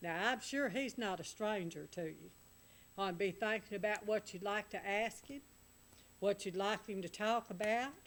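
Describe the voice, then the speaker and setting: A woman with a Southern US accent at a moderate pace. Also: medium pitch for a woman, ordinary pitch variation. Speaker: radio talk show host. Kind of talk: radio call-in show hosting.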